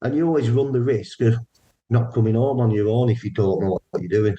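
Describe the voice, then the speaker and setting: A man with a northern English accent speaks at a medium pitch, somewhat breathy, with a dark, mellow tone and fairly even intonation. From northern England, Burnley, Lancashire. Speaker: paranormal investigator. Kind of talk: interview. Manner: casual, repetitive false starts.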